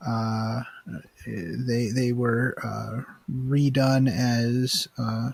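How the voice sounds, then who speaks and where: Quietly and at a very slow pace, a man talks at a medium pitch. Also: fairly even intonation. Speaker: podcast host. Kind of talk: casual chat. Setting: online call recording. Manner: quiet, subdued; halting, many fillers.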